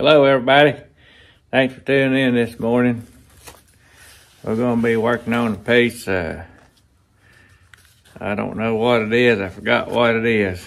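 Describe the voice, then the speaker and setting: Pausing long and often, a man speaks at a moderate pace with fairly even intonation. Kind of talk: casual vlog chat. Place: workshop. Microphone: lapel.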